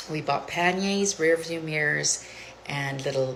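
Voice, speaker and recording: A woman with a very deep, low pitch and ordinary pitch variation is heard amid noticeable background noise and audible room echo. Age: 60s. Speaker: lifestyle vlogger. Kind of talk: casual vlog monologue. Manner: casual, hesitant with frequent fillers.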